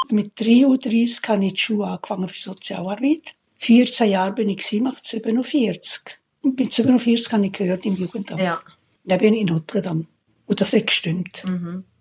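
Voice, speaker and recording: This woman speaks at a fairly slow pace in a medium pitch, sounding somewhat breathy. Her pitch variation is ordinary. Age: 80s+. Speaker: retired social worker. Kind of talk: casual interview. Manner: halting.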